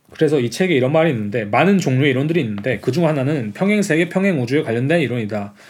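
Talking at a very fast pace with hardly any pauses, a man keeps a very even loudness, a fairly high pitch and lively intonation. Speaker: podcast host discussing art. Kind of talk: casual conversational discussion about art.

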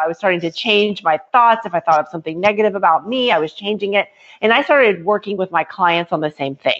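A woman talks at a medium pitch in a plain, everyday voice. Her intonation is lively. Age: 40s. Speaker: author and entrepreneur. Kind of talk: interview.

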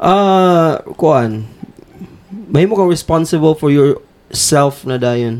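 Lively intonation marks this man's speech. His pace is very slow. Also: fairly high pitch for a man. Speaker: podcast co-host. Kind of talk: casual chat.

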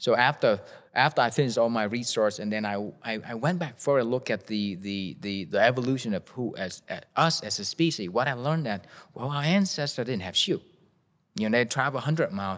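Speech in a Vietnamese accent comes at a fairly quick pace with lively intonation. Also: man, medium pitch for a man. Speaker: shoe company founder. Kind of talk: interview. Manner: halting.

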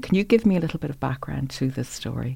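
A woman speaks with an Irish accent. Her pace is very fast and her intonation lively. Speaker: podcast host and interviewer. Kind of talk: interview conversation. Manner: measured, formal.

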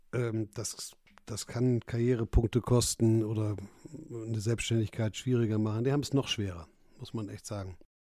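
A dark, mellow tone at a moderate pace, fairly even intonation, big swings in loudness, dry, close sound with no echo, and a very clean recording over a silent background. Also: man, medium pitch for a man. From northern Germany, North Sea coast. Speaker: entrepreneur and investor. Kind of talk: casual interview.

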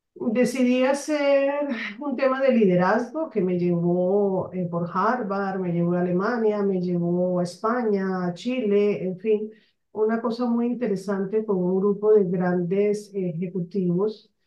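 A woman's pitch varies in an ordinary way, and the room adds audible echo. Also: medium pitch for a woman, fairly slow pace. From Colombia, Barranquilla (Caribbean coast). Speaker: mentor, author and business consultant. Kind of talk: interview.

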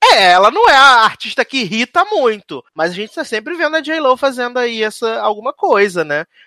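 A man speaks in an extremely high, bright and sharp voice, raised and projected, with very wide pitch swings. His pace is moderate, with hardly any pauses. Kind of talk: radio dj patter. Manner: chatty, jokey.

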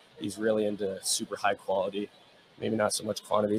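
A man with an American accent talks at a fairly quick pace with a fairly low pitch. Noticeable background noise can be heard. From Pennsylvania (State College). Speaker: college swimmer. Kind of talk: casual interview.

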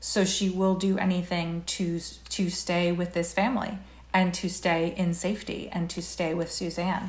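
A woman with a fairly low, somewhat breathy voice talks at a moderate pace in a monotone, flat way. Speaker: TV writer and producer. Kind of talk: casual chat. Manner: halting.

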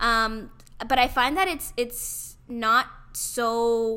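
On a very clean recording with a silent background, a woman speaks high in a bright, sharp tone. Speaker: podcast co-host. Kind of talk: casual chat. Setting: podcast recording. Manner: enthusiastic on air.

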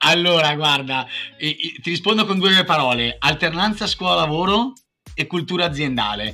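A man speaks in an unremarkable speaking voice at a fairly high pitch. His intonation is lively and his pace moderate. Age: 30s. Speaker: entrepreneur. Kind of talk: interview.

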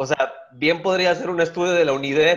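A man speaks in a normal speaking voice at a moderate pace. His pitch varies in an ordinary way. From Guaymas, Sonora, Mexico. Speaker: stand-up comedian. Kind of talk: casual chat.

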